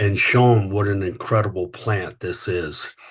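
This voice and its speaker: A man with an American accent talks in a fairly low, somewhat breathy voice with monotone, flat intonation. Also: quiet background. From US South, Louisiana. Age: 60s. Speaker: company founder and CEO. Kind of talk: podcast interview. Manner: halting, many fillers.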